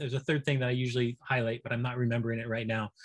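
At a very fast pace, a man speaks at medium pitch in a somewhat breathy voice, the sound dry and close with no echo. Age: 50s. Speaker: professor. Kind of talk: interview.

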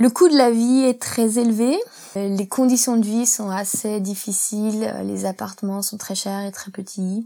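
A woman with a fairly high voice talks in fairly even intonation. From France, rural Isère. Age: 30s. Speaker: accountant and expatriate. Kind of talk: interview testimony. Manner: hesitant.

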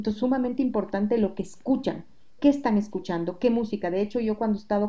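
Here is a woman with a medium pitch and ordinary pitch variation. Her tone is dark and mellow, and somewhat breathy. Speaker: music educator and singing teacher. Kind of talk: interview.

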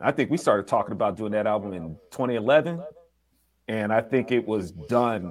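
On a very clean recording with a silent background, a man in a normal speaking voice talks at a moderate pace and fairly low pitch with lively intonation. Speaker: album producer, multimedia creator. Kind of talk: casual interview chat.

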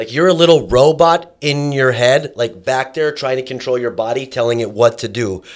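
A man with a normal speaking voice, medium pitch, and ordinary pitch variation talks at a moderate pace on a very clean recording against a silent background. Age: 30s. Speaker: MMA fighter. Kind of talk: casual chat. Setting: studio.

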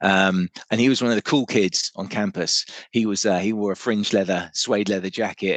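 With an English accent, a man speaks at a fairly low pitch with ordinary pitch variation. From England, raised partly in Germany among British forces families. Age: 50s. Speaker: musician. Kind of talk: casual interview chat.

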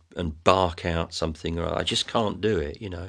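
Against a quiet background, a man with an English accent speaks at a very deep, low pitch with ordinary pitch variation. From England. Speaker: folk singer-songwriter. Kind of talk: interview conversation.

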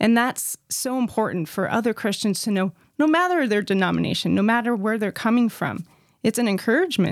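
With an unremarkable speaking voice, a woman talks at a fairly quick pace and fairly high pitch, her intonation lively and the sound dry and close with no echo. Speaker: podcast co-host. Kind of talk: casual chat.

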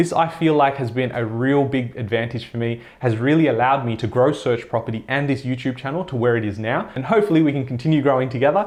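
With an Australian accent, a man talks very fast at a medium pitch with ordinary pitch variation. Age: 20s. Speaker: personal finance YouTuber. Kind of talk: vlog-style monologue to camera.

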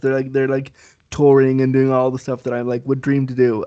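A man with a Canadian accent has a dark, mellow tone. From Canada. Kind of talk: casual interview chat.

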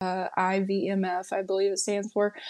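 A woman speaks in a North Carolina accent. The recording is very clean, with a silent background. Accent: Southern US, North Carolina. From rural North Carolina. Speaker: market research specialist, Marine veteran. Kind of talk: casual interview.

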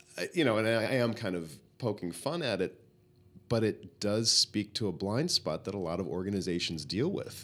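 A man's plain, everyday voice, fairly low in pitch, at a moderate pace with lively intonation. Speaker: podcast host. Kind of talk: casual interview conversation.

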